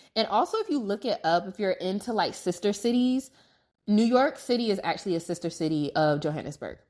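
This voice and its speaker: Recorded very cleanly against a silent background, a woman with a normal speaking voice and an American accent talks at a fairly quick pace, medium in pitch, with lively intonation. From United States. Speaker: podcast host. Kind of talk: casual travel storytelling monologue. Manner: conversational, filler-heavy.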